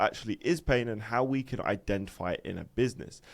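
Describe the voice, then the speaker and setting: He speaks with a British accent. The voice is a man's. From UK. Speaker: online business coach. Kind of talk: lecture. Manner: casual, filler-heavy.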